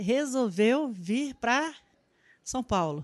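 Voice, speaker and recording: The background is quiet. Her intonation, as a woman speaking, is lively. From Brazil, Amazonas (Manaus). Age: 50s. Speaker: social worker. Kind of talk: interview. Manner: halting.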